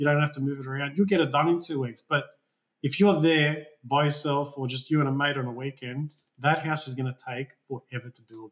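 Fairly high in pitch and with an Australian accent, a man talks at a fairly quick pace with big swings in loudness. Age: 30s. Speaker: building designer and owner builder. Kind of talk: interview. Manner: casual, hesitant with fillers.

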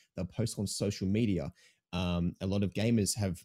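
A man's dark, mellow, fairly low voice in an Australian accent, dry and close with no echo on a very clean recording with a silent background. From Melbourne, Australia. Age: 20s. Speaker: Twitch streamer. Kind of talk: casual chat. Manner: animated.

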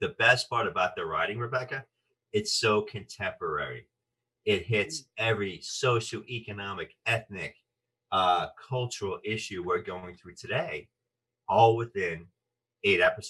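Speaking at a moderate pace, a man sounds animated, with big swings in loudness. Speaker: actor and voice artist. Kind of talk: interview.

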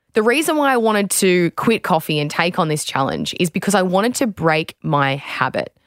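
A woman with an Australian accent, fairly quick and with hardly any pauses, very wide pitch swings, very even loudness and a dry, close sound with no echo. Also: medium pitch for a woman. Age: 20s. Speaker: podcast host, former athlete. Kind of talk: casual chat and narrated diary. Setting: studio.

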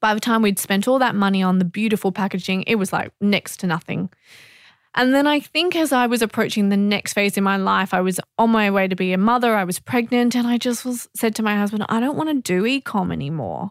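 In a very clean recording with a silent background and a dry, close sound with no echo, a woman speaks at a fairly quick pace and medium pitch, with ordinary pitch variation and very even loudness. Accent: Australian. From Australia. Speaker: media company founder. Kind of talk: interview.

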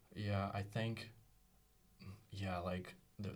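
Audible room echo carries a man's fairly low voice with ordinary pitch variation. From Russia. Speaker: startup co-founder and designer. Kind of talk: casual interview. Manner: halting.

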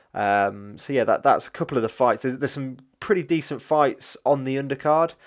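A man talks very fast with an East Midlands accent. The background is quiet. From English Midlands, Leicester. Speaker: MMA podcast host. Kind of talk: solo podcast monologue. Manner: hesitant, many fillers.

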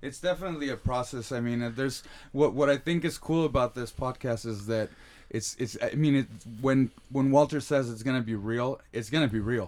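A man with an unremarkable speaking voice talks at a fairly quick pace with ordinary pitch variation, in a very clean recording with a silent background. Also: medium pitch for a man. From San Diego, California, Mexican-American family. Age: 30s. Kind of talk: casual chat. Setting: home recording in a kid's room.

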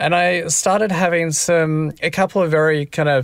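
A man speaks with an Australian accent. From South Australia, rural. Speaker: author. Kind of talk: interview. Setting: remote call.

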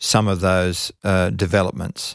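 Recorded dry and close with no echo against a silent background, a man speaks with an Australian accent in a very clean recording. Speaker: agricultural policy expert. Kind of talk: interview. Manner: hesitant, many fillers.

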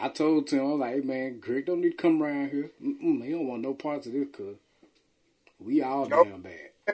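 A man speaks at a moderate pace in a fairly high pitch with ordinary pitch variation. His loudness swings widely, with music in the background. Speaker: podcast host. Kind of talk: casual chat.

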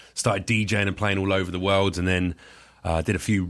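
A man talks at a fairly quick pace with a fairly low pitch. He has an unremarkable speaking voice. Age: 30s. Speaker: comedian. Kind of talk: casual chat.

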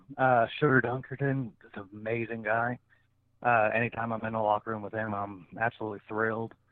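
Medium in pitch, a man with an American accent talks in a monotone, flat intonation. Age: 30s. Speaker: professional wrestler. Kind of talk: casual interview.

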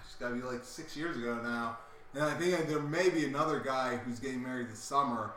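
A man with an American accent, fairly high in pitch and fairly quick, with ordinary pitch variation and big swings in loudness, over noticeable background noise and audible room echo. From Delaware, near Philadelphia. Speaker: sports podcast co-host. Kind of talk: casual chat. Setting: live show.

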